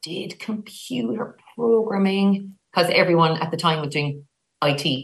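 Speaking in a Cork accent, a woman has a fairly low pitch, a bright, sharp tone and ordinary pitch variation. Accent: Irish, Cork. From Ireland, Cork. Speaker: sister of an actress. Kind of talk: casual chat.

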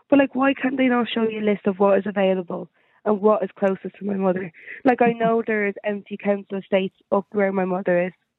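Very fast and fairly even in intonation, a woman talks at a medium pitch. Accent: Dublin. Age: 30s. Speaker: caller, mother in temporary housing. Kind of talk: phone-in discussion. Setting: phone call.

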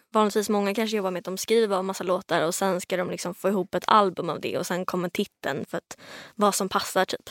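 Flat and monotone, a woman speaks at a very fast pace with a medium pitch. The very clean recording is dry and close with no echo and a silent background. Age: 20s. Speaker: singer-songwriter. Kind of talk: casual chat. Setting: studio.

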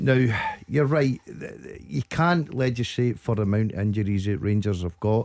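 In a Scottish accent, a man talks at a moderate pace in a fairly low pitch, with lively intonation. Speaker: football pundit. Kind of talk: radio phone-in discussion. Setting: studio.

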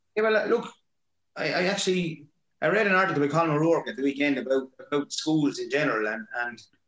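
A man speeds along at a very fast pace, his intonation lively. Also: fairly high pitch for a man. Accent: Waterford. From Ireland, Waterford. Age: 40s. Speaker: hurling manager and teacher. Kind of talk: casual interview chat.

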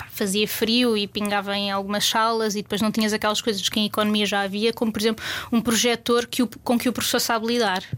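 Monotone and flat, a woman with a fairly high pitch speaks at a very fast pace. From Portugal, Lisbon outskirts. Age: 30s. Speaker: food and culture journalist. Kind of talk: casual interview chat.

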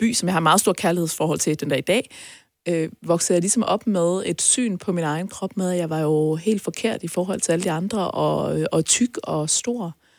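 In an ordinary speaking voice, a woman talks at a moderate pace and a fairly low pitch with ordinary pitch variation. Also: very clean recording, silent background. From North Jutland, Denmark. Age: 30s. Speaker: entrepreneur and podcast guest. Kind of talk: personal interview. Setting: studio.

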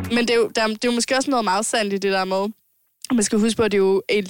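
This is a woman with a normal speaking voice and a fairly high pitch. The sound is dry and close, with no echo. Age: 20s. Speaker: podcast host. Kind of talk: casual chat. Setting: home-made studio.

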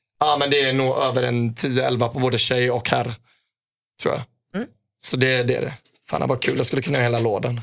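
Speaking at a fairly quick pace with long, frequent pauses, a man uses a medium-pitched voice and fairly even intonation. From Sweden, Gothenburg. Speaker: footballer. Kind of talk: casual chat.

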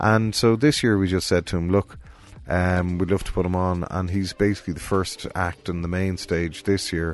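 At a moderate pace, a man with a Cork accent speaks in a very deep, low pitch. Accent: Cork Irish. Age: 40s. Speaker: music promoter and festival director. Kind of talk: casual interview chat. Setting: studio.

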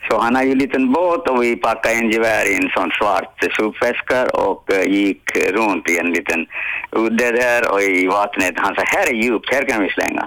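Over noticeable background noise, a man talks at a moderate pace and medium pitch, with ordinary pitch variation and very even loudness. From abroad, came to Sweden in the 1960s. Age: 80s+. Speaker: podcast sidekick, host's father. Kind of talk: casual chat, storytelling.

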